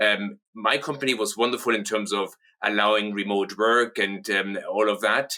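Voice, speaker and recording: With a bright, sharp tone and very even loudness, a man speaks fairly low at a moderate pace with fairly even intonation. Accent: German. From southern Germany (Munich). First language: German. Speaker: company co-founder and managing director. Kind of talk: interview.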